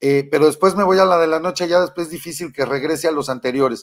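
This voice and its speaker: Against a quiet background, a man with a Mexican accent speaks in an animated tone at a fairly quick pace. His voice is high, with ordinary pitch variation. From Mexico, Michoacán. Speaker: political commentary show host. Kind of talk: live political commentary. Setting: studio. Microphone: webcam.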